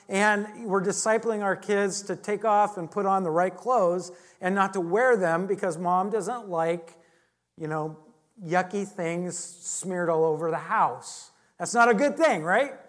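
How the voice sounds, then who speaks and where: A woman with an American accent speaks at a fairly slow pace, her medium pitch varying in an ordinary way. Room echo is audible. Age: 50s. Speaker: pastor. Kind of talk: sermon. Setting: church.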